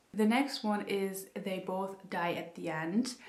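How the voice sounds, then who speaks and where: A woman speaks at a medium pitch with a non-native accent and ordinary pitch variation, while audible room echo and noticeable background noise fill the recording. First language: not English. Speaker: book youtuber. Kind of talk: casual chat. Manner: chatty, many fillers.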